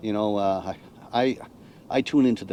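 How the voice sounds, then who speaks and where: This man speaks with a Cape Breton accent. His tone is dark and mellow. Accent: Canadian Maritime (Cape Breton). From Cape Breton Island, Nova Scotia, Canada. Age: 60s. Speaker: retired navy veteran, RV nomad. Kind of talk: casual interview chat.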